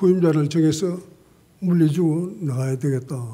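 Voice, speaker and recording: In a dark, mellow tone, a man speaks at a fairly high pitch and a fairly slow pace with fairly even intonation, and audible room echo surrounds him. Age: 80s+. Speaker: pastor. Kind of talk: sermon.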